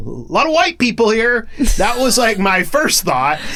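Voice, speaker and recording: A man with an American accent projects a raised, high-pitched voice of bright, sharp tone, moving at a fairly slow pace. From Oklahoma. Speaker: podcast host. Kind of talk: casual interview chat. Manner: loud.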